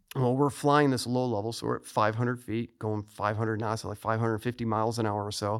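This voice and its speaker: Here a man speaks at a very fast pace in a monotone, flat intonation. The recording is very clean with a silent background. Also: medium pitch for a man. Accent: American. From US Midwest, Chicago suburbs. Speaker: retired fighter pilot and author. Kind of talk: interview.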